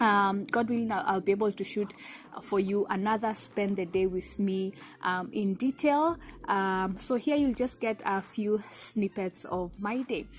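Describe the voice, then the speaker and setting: Somewhat breathy, a woman speaks at a fairly slow pace with ordinary pitch variation against light background noise. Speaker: vlogger. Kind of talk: casual vlog chat. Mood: cheerful, grateful. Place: garden. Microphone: phone near.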